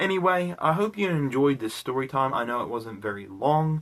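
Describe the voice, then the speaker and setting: A man with a slight British accent at a moderate pace, his pitch swinging very widely. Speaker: vlogger. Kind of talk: casual storytelling vlog. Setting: recording at home in bedroom. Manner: casual, many fillers like 'like' and 'you know'.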